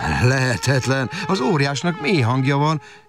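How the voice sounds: Fairly even intonation in a natural reading voice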